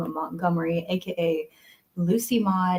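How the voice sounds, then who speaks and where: Somewhat breathy, a woman speaks at a very slow pace. Her tone is dark and mellow. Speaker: audiobook narrator. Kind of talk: casual talk to camera. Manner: upbeat, friendly.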